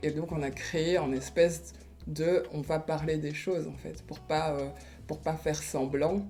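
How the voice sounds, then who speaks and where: A woman's fairly slow speech amid audible room echo and noticeable background noise. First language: Kinyarwanda (speaking French). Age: 30s. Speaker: artist and blogger. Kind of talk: interview testimony. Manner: hesitant, many fillers.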